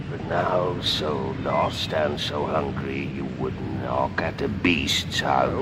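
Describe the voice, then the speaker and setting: Against loud background noise, a man speaks very slowly in a put-on character voice. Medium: stage play. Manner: gentle, courteous.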